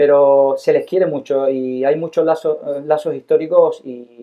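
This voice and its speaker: A man speaks with a Cuban accent. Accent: Cuban Spanish, taken for Canarian. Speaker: investor. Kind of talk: casual interview chat.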